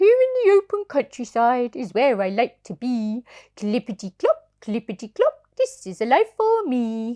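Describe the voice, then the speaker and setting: In a put-on character voice, a woman speaks high-pitched at a moderate pace over a quiet background. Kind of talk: bedtime story. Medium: read story.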